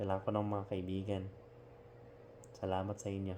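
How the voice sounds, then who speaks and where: A man's very deep, low voice with fairly even intonation at a moderate pace, over noticeable background noise. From Philippines. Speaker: overseas Filipino worker. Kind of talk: casual talk to camera. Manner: sincere, reflective.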